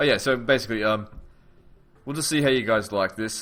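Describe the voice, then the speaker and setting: This man has an Australian accent and a bright, sharp tone. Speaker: gaming YouTuber. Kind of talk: casual let's play commentary.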